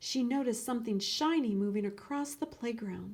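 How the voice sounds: A woman speaks at a moderate pace with ordinary pitch variation. Her tone is slightly mellow.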